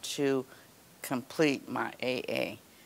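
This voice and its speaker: The woman's voice is very deep and low in pitch. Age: 70s. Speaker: retiree and college graduate. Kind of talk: interview testimony. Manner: hesitant, many fillers. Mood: proud, calm. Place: garden.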